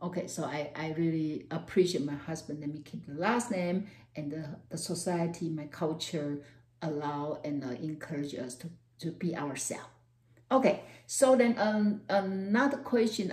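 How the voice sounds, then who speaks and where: With a Taiwanese accent, a woman speaks at a fairly slow pace in a fairly low, somewhat breathy voice of dark, mellow tone and lively intonation. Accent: Taiwanese Mandarin-accented English. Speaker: university professor. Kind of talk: personal talk to camera.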